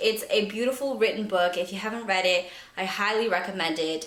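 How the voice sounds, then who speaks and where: Her medium-pitched voice has lively intonation. There is noticeable background noise and audible room echo. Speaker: book youtuber. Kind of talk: casual vlog monologue.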